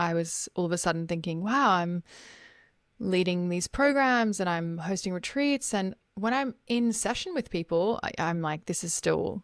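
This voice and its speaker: Speaking fairly slowly in a fairly low pitch, a woman with an Australian accent uses lively intonation on a very clean recording with a silent background and a dry, close sound with no echo. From Australia, Gold Coast. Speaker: life coach. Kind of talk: podcast interview.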